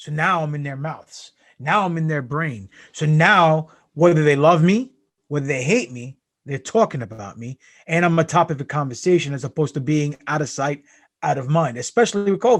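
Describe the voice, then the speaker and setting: At a moderate pace, the speaker sounds somewhat breathy, and the intonation is lively. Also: man. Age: 40s. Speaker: pro wrestler. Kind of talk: casual chat. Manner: animated.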